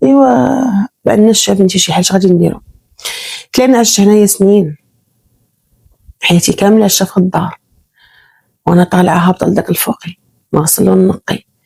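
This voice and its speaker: Dry, close audio with no echo of a woman with a Moroccan accent, somewhat breathy and dark and mellow in tone, at a fairly quick pace with very even loudness and long, frequent pauses. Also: medium pitch for a woman, ordinary pitch variation. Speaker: storyteller. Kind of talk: first-person real-life story narration.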